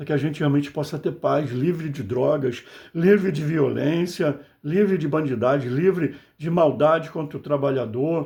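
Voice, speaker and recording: The voice is somewhat breathy, with ordinary pitch variation at a moderate pace. The recording is very clean with a silent background. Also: man. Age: 60s. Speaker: political commentator, video blogger. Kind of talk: political monologue to camera. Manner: impassioned, conversational.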